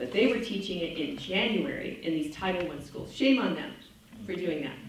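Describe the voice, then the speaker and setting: A woman's animated tone and lively intonation, with audible room echo and noticeable background noise. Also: medium pitch for a woman, moderate pace. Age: 60s. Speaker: parent activist speaker. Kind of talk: talk to an audience. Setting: church sanctuary with audience. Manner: conversational, animated.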